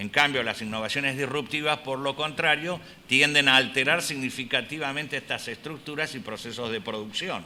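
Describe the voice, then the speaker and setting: A man talks at a moderate pace with medium pitch and ordinary pitch variation. Noticeable background noise and audible room echo fill the recording. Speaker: health economics professor and researcher. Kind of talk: conference lecture. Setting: conference hall with audience. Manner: halting, with filler words.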